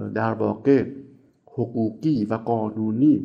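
Speaking at a very slow pace, a man has a dark, mellow tone. His pitch variation is ordinary. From Iran, Isfahan. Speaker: economics professor. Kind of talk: interview answers. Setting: recorded separately from questions.

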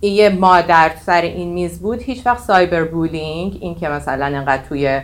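A woman with a fairly low pitch talks at a moderate pace, and her pitch varies in an ordinary way. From Iran, Tehran. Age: 40s. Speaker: AI technology leader. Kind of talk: casual interview. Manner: halting.

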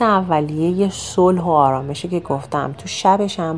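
The speaker goes at a fairly slow pace with lively intonation. Noticeable background noise runs underneath. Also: woman. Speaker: travel podcast narrator. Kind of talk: travelogue narration. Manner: casual conversational.

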